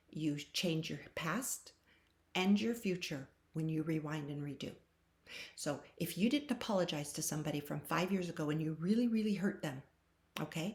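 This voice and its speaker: This woman's voice sits at a fairly low pitch and is somewhat breathy. She talks at a moderate pace with ordinary pitch variation. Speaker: tarot reader. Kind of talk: channeled tarot reading. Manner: animated.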